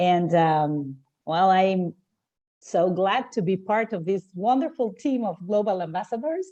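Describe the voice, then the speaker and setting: A woman's dark, mellow voice at medium pitch, very slow in pace but lively in intonation. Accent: Spanish. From Argentina. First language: Spanish. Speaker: translator. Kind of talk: video meeting introduction.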